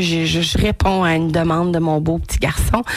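Someone with a Quebec accent speaks at a fairly slow pace over noticeable background noise. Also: woman. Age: 40s. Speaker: radio host. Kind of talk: casual monologue. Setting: studio. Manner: animated.

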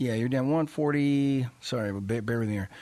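Against a quiet background, a man talks in an animated tone with lively intonation. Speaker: finance radio host and investment officer. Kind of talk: radio show monologue. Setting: radio studio.

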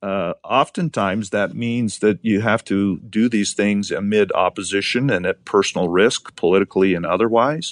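Over a quiet background, a man with an American accent and a normal speaking voice talks at a moderate pace and fairly low pitch with ordinary pitch variation, in a dry, close sound with no echo. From Montana. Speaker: state attorney general. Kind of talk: interview.

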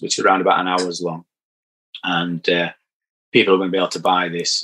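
A man speaks in a Yorkshire accent. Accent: broad Yorkshire. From Barnsley, Yorkshire. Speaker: damp surveyor and podcaster. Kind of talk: casual interview chat. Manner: halting, repeats words.

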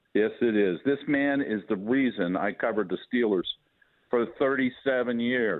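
Moderately paced, a man with an unremarkable speaking voice talks at a medium pitch with ordinary pitch variation. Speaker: retired sportswriter. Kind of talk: casual chat. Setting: phone call.

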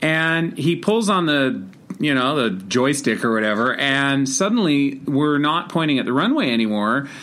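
At a moderate pace, the voice has a bright, sharp tone, lively intonation, and very even loudness. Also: man, fairly high pitch for a man. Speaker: managing editor. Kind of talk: casual recounting of stories. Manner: casual, hesitant with fillers.

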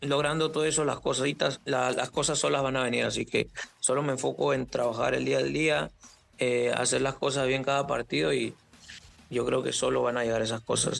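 At a fairly quick pace, a man talks with very even loudness. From Peru, Lima. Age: 20s. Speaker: professional footballer. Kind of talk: interview.

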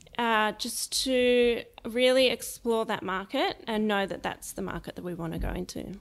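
The speaker has an Australian accent and talks at a moderate pace with hardly any pauses. The pitch varies in an ordinary way. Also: woman, fairly high pitch for a woman. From Australia, Sydney. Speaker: startup co-founder. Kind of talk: interview.

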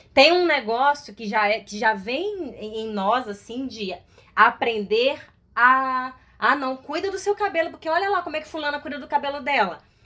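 Raised and projected, a woman's high-pitched voice has a bright, sharp tone and a moderate pace, with very wide pitch swings and big swings in loudness. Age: 30s. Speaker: actress. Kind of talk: casual chat.

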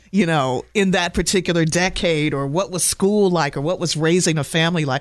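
A very clean recording with a silent background. The speech moves at a moderate pace. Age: 50s. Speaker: radio host. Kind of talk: radio interview.

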